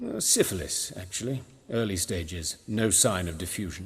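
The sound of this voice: A man puts on a character voice, low-pitched with a husky, rough edge. His intonation is lively and his pace moderate.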